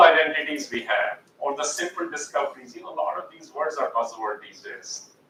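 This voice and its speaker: A fairly high-pitched male voice with an Indian accent, moderate pace, and noticeable background noise. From India (Jhansi, Uttar Pradesh), then US from age 12. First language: Hindi. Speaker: educator and author. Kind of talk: guest talk.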